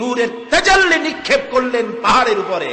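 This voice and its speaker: Noticeable background noise accompanies this man's raised, projected voice. His pitch is extremely high. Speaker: Islamic preacher. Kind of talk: religious sermon.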